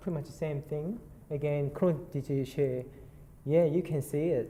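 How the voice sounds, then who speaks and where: The speaker talks at a moderate pace with a Korean accent. Long, frequent pauses break up the speech. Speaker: nurse clinician. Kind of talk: conference presentation. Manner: halting, many fillers.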